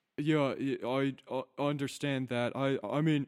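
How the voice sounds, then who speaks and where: A gruff, put-on character voice in a British accent comes through at a fairly slow pace. The intonation stays monotone and flat. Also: man, medium pitch for a man. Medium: actual play. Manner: casual, rambling.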